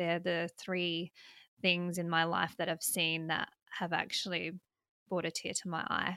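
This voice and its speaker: A woman, fairly low in pitch, with a bright, sharp tone and monotone, flat intonation, at a fairly slow pace with long, frequent pauses, in a dry, close sound with no echo on a very clean recording with a silent background. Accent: Australian. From South Australia, country. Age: 30s. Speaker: political commentator and libertarian politician. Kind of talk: casual interview.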